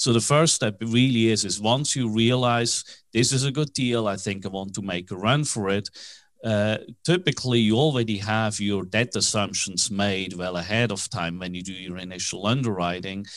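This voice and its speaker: Over a quiet background, a man with a Swiss accent talks at a moderate pace, his fairly low pitch showing ordinary variation. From Switzerland. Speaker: commercial real estate financing broker, company founder. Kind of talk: interview.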